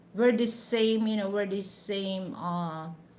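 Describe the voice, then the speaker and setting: A woman in a Western Visayas accent, very slow and fairly even in intonation, with noticeable background noise. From Negros Occidental, Philippines. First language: Hiligaynon. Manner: slow speaker.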